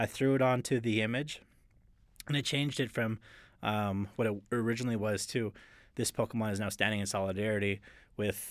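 A man with a Canadian accent speaks at a fairly quick pace with fairly even intonation. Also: very clean recording, silent background. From northeastern Alberta, Canada (Cold Lake First Nations). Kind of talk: interview. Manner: halting, many fillers.

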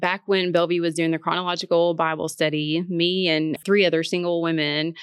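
In a Tennessee accent, a woman speaks very fast with a fairly low pitch and a flat, monotone intonation. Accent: Southern US (Tennessee). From US South, Martin, Tennessee. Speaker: church staff and Bible study writer. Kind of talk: casual chat.

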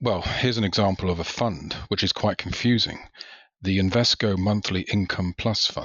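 A moderate pace in a British accent, with ordinary pitch variation. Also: man. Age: 50s. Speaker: retail investor, podcast listener. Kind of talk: casual interview.

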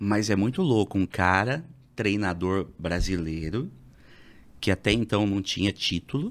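A man's plain, everyday voice, fairly low in pitch, at a fairly slow pace with ordinary pitch variation and very even loudness, on a very clean recording with a silent background. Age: 30s. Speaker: radio presenter and stand-up comedian. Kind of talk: casual chat.

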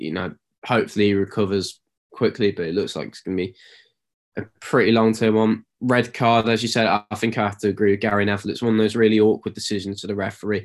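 The speech comes at a very fast pace in an East Midlands accent. The recording is very clean with a silent background. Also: man, fairly low pitch for a man. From East Midlands, England. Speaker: podcast co-host. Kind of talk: casual sports chat.

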